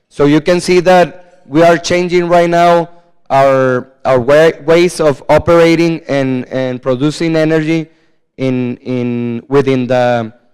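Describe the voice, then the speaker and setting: With a Spanish accent, a man speaks very slowly at a fairly high pitch with ordinary pitch variation. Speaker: politician. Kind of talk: conference presentation. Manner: halting, many fillers and repetitions.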